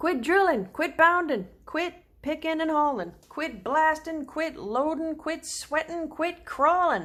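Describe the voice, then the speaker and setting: A woman's gruff put-on character voice, extremely high, fairly slow with hardly any pauses and ordinary pitch variation. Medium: read story.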